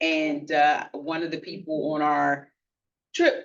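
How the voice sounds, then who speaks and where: A woman with an American accent has a normal speaking voice. Her pitch is fairly low, with ordinary variation. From Philadelphia, US. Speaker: club meeting speaker, birder. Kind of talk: lecture Q&A.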